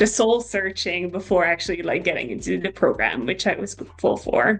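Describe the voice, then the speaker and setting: Her voice has vocal fry and a medium pitch for a woman. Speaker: psychology PhD student. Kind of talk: casual interview chat. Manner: hesitant, many fillers.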